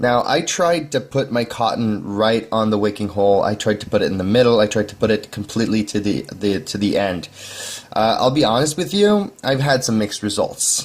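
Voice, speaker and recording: A man with a medium pitch talks at a fairly quick pace, his pitch varying in an ordinary way. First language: not English. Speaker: vaping hobbyist video maker. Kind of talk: tutorial. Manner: halting, with repeated words; casual.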